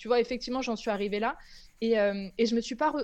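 This woman has an ordinary speaking voice, pitched fairly high, with ordinary pitch variation. The background is quiet. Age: 30s. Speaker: content creator, former make-up artist. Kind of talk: casual chat.

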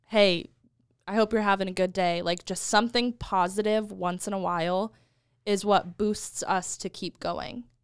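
In a very clean recording with a silent background, a woman with an American accent and an unremarkable speaking voice speaks at medium pitch and a moderate pace, her intonation fairly even. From United States. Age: 20s. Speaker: marketing and social media worker. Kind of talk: casual chat.

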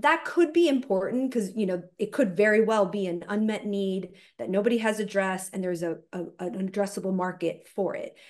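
A woman speaks in an ordinary speaking voice at a medium pitch, fairly quickly and with hardly any pauses. Her intonation is lively, and the background is quiet. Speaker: venture capital investor. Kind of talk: panel discussion.

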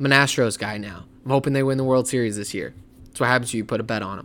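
With music in the background, a man talks at a very fast pace and medium pitch with ordinary pitch variation. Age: 20s. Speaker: sports podcast host. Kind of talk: solo sports commentary. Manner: animated.

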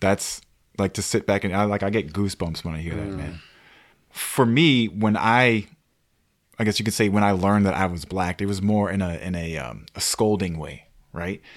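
A man with an American accent talks in a plain, everyday voice, fairly low in pitch, with ordinary pitch variation at a moderate pace. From Maryland, Montgomery County. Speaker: podcast co-host. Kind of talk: casual chat.

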